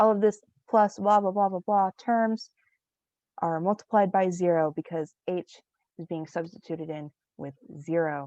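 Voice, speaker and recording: A woman with a dark, mellow tone and medium pitch speaks at a moderate pace with long, frequent pauses, ordinary pitch variation and big swings in loudness, the sound dry and close with no echo over a quiet background. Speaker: student teacher. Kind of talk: lecture.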